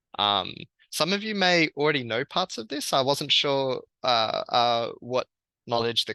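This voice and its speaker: With an Australian accent, a man speaks in a bright, sharp tone with ordinary pitch variation over a quiet background. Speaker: researcher. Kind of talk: lecture.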